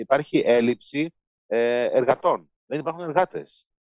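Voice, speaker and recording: A man speaks in an ordinary speaking voice, fairly high in pitch, with lively intonation. The sound is dry and close, with no echo. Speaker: biomedical engineering professor. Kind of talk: interview.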